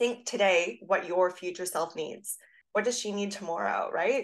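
Using a normal speaking voice, a woman talks at a fairly quick pace with medium pitch. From Canada. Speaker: fitness coach. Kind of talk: interview.

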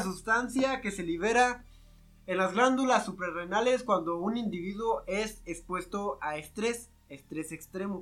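At a fairly slow pace, a man with a bright, sharp tone talks in a raised, projected voice with ordinary pitch variation. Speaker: podcast co-host. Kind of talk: casual comedic chat.

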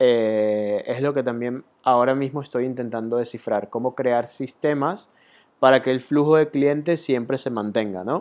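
At a fairly slow pace, a man talks in a normal speaking voice, medium in pitch with ordinary pitch variation. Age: 20s. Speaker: podcast host, web designer. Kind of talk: solo monologue podcast. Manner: casual, many fillers (eh, ¿ok?, ¿vale?).

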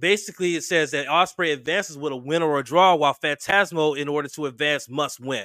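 Very fast and with hardly any pauses, a man talks in a fairly high pitch with an animated, bright, sharp tone. The recording is very clean, with a silent background. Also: ordinary pitch variation. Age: 40s. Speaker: podcast host. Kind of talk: casual chat.

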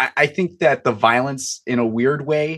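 A man with an American accent, ordinary pitch variation and a moderate pace over a quiet background. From Chicago suburbs, US Midwest. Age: 20s. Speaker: author. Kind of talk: casual interview.

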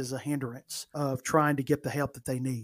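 A man speaks in an Alabama accent. His pace is fairly quick. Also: very clean recording, silent background. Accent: Alabama Southern US. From US South, northern Alabama. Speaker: comedian. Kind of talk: casual chat.

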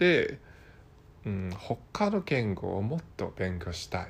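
Against a silent background in a very clean recording, a man speaks at medium pitch with a Hong Kong accent. He goes very slowly, his pitch swinging very widely. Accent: Hong Kong Cantonese accent in Japanese. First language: Cantonese (speaking Japanese). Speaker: Japanese learner podcaster. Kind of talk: casual monologue. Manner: halting, many fillers.

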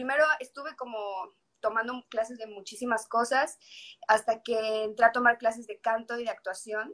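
A woman with a fairly high pitch and an unremarkable speaking voice talks at a moderate pace, her intonation fairly even but her loudness swinging widely. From Mexico, Yucatán (Mérida). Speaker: singer-songwriter. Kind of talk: casual chat.

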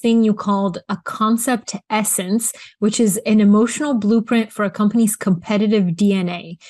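A somewhat breathy voice is heard over a quiet background. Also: woman. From Bulgaria. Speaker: interviewer. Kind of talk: interview conversation.

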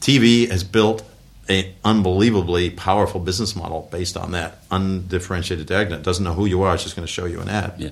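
A man with a very deep, low voice speaks with an American accent and fairly even intonation. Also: fairly quick pace. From US, western New York (Buffalo area). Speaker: former tech executive and business advisor. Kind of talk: interview. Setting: office.

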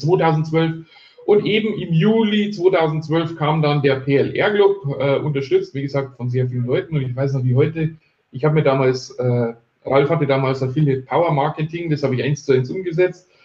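Somewhat breathy, a man with a fairly high pitch talks at a moderate pace with ordinary pitch variation. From Bavaria, near Ingolstadt. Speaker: online marketing entrepreneur. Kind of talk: interview. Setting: live video stream.

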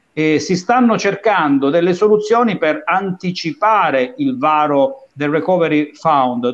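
A man's high-pitched voice at a fairly slow pace. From Falerna, Calabria. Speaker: show co-host, former radio host. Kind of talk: casual chat.

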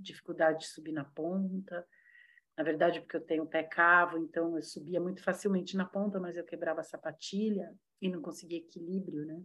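A woman talks at a fairly quick pace in a fairly low pitch. Her intonation is monotone and flat. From São Paulo, Brazil. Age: 60s. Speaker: dancer and ballet teacher. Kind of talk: casual chat.

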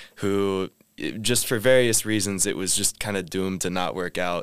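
With a Midwestern American accent, a man talks at a moderate pace and fairly low pitch, his intonation fairly even, on a very clean recording with a silent background. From US Midwest (Indiana). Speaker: master's student. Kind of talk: casual chat.

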